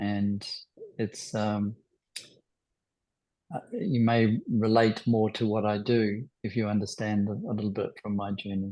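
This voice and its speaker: A man with a New Zealand accent, dark and mellow in tone, monotone and flat, at a fairly slow pace with long, frequent pauses. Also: fairly low pitch for a man. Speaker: spiritual healer. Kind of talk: talk to online group. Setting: video call.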